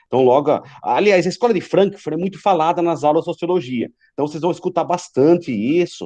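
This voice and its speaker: Here a man talks with a fairly high pitch and a dark, mellow tone. The background is quiet. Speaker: high school philosophy teacher. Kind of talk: online class lecture.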